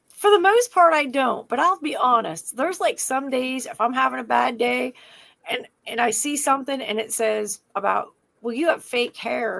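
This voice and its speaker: A woman's high voice, animated in tone, with lively intonation at a moderate pace. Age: 50s. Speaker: podcast co-host. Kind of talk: casual chat.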